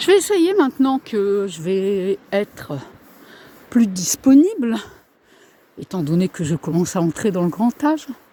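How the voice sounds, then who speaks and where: A woman's medium-pitched voice with very wide pitch swings, a fairly slow pace and long, frequent pauses, in a dry, close sound with no echo, amid noticeable background noise. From northern France. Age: 60s. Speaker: vlogger. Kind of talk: casual vlog monologue. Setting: outdoors on a walk. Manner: halting.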